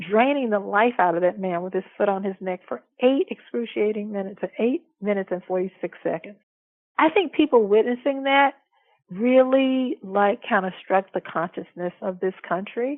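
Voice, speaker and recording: A medium-pitched woman with an American accent and lively intonation, at a moderate pace, an ordinary speaking voice. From US South (Alabama). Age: 60s. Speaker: law professor. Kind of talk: interview.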